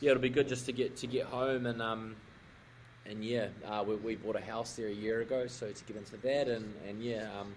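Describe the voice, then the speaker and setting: A man talks at a fairly quick pace in a New Zealand accent with a medium pitch. His intonation is monotone and flat. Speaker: rugby player. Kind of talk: casual chat.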